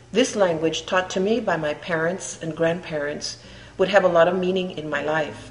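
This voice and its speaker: A woman with a fairly low voice speaks at a moderate pace and in a fairly even tone, with audible room echo and noticeable background noise. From Imperial Valley, California, near Mexican border. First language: Spanish. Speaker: artist. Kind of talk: autobiographical narration.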